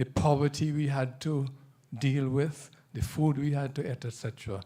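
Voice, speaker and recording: A man speaks at a moderate pace with a fairly high pitch. His tone is dark and mellow and somewhat breathy. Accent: Nevisian. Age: 70s. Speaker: author. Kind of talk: book presentation at authors' forum. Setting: room with live audience.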